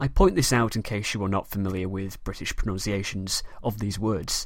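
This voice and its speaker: A man speaks with a Manchester accent and ordinary pitch variation. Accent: Mancunian northern English. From Manchester, northern England. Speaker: history podcast host. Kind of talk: scripted educational podcast narration.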